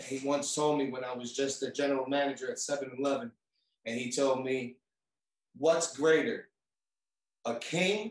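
In a New York accent, a man speaks at a moderate pace. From New York City. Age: 30s. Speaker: rap artist and record label owner. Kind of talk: casual interview.

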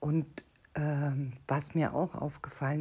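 A woman with a very deep, low pitch and a dark, mellow tone speaks at a fairly slow pace, somewhat breathy. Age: 50s. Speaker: podcast host, personal development coach. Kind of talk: solo podcast monologue.

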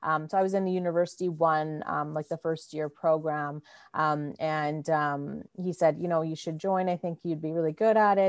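In a very clean recording with a silent background, a woman with a Canadian accent speaks at a moderate pace in a very deep, low voice with fairly even intonation. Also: dry, close sound with no echo. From Winnipeg, Manitoba, Canada. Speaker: MBA student and former student union president. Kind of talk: interview conversation. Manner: halting with many fillers.

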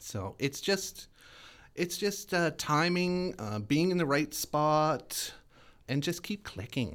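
A man with a Canadian accent speaks at a very slow pace, fairly high in pitch, with lively intonation. The recording is very clean with a silent background. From Winnipeg, Manitoba, Canada. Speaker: drag performer. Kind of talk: interview.

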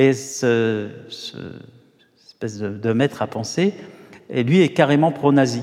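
A man's medium-pitched voice at a very slow pace, with long, frequent pauses, big swings in loudness and ordinary pitch variation. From Paris, France. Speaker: novelist. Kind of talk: literary interview on stage.

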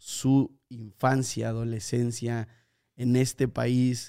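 A man speaks with a dark, mellow tone. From Mexico, teen years in Spain. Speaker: podcast host, preacher. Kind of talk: casual chat.

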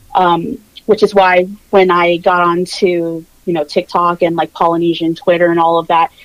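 A woman with a General American accent and an unremarkable speaking voice talks at a moderate pace and medium pitch. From Virginia Beach, Virginia, US. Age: 20s. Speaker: social media creator. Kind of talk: casual interview chat.

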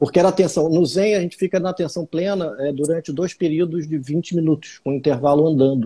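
With a dark, mellow tone and fairly high pitch, a man talks at a fairly quick pace with hardly any pauses and ordinary pitch variation, in a dry, close sound with no echo. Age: 40s. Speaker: meditation teacher and acupuncturist. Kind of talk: casual interview on a live stream.

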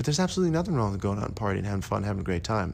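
A man's very fast, fairly low voice with very wide pitch swings and audible room echo. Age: 40s. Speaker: podcast host and performing arts coach. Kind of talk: solo podcast monologue.

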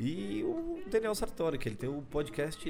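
A man's intonation is lively, with noticeable noise present in the background. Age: 30s. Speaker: podcast host, stand-up comedy scene. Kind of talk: casual solo monologue. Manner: talkative, fast.

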